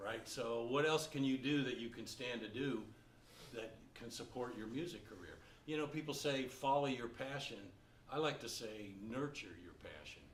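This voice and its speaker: The speech moves at a moderate pace with ordinary pitch variation and big swings in loudness. Audible room echo and noticeable background noise fill the recording. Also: man, medium pitch for a man. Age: 60s. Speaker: jazz baritone saxophonist and music teacher. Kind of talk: Q&A talk to students. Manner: conversational.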